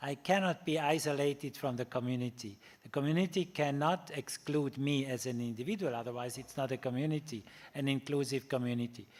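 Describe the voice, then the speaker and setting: This man has a fairly high pitch and ordinary pitch variation, talking at a fairly quick pace. The recording is very clean, with a silent background. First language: German. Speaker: ethics professor. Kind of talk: lecture. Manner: halting, many fillers.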